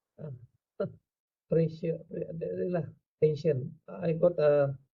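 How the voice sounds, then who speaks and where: A man delivers his words at a very slow pace, his pitch fairly high. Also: ordinary pitch variation. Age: 70s. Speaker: mature university student. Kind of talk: casual chat with lecturer. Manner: halting, hesitant.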